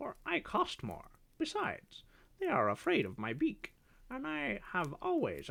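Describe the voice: Simply plain reading aloud, nothing more.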